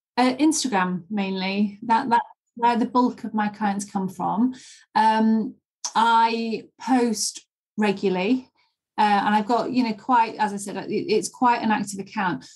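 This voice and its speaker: A woman speaks at a fairly slow pace with a fairly high pitch. Her voice is somewhat breathy, with ordinary pitch variation. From Leeds, northern England. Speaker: English pronunciation teacher. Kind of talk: interview.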